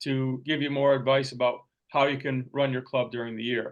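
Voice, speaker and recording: A man at a moderate pace. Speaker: Rotary district leader presenting training. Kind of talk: training presentation. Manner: halting with repetitions.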